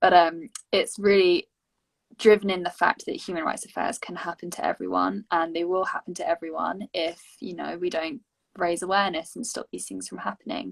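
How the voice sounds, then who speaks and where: Speaking with an English accent at a moderate pace, a woman shows big swings in loudness, recorded with a dry, close sound and no echo. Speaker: youth education project member hosting session. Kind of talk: casual panel discussion.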